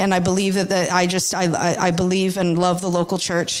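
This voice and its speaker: Noticeable background noise sits behind a woman who speaks with an American accent. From United States. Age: 20s. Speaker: church member giving testimony. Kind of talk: testimony. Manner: halting.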